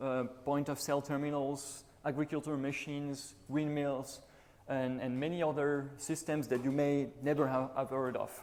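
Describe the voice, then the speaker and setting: A man with a French accent talks in a fairly high pitch with monotone, flat intonation and audible room echo. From France, Toulouse. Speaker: conference speaker, embedded Linux engineer. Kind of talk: conference talk. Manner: hesitant, with fillers.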